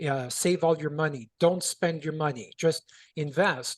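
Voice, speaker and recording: An ordinary speaking voice from a man with a Canadian accent, fairly high in pitch with ordinary pitch variation, at a moderate pace, in a dry, close sound with no echo. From Canada, Toronto. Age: 60s. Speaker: contractor and business coach. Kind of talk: interview storytelling.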